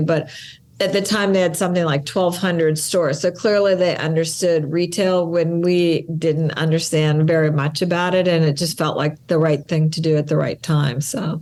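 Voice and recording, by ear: A woman speaks at a moderate pace with a low pitch, little pitch movement and a slightly mellow tone.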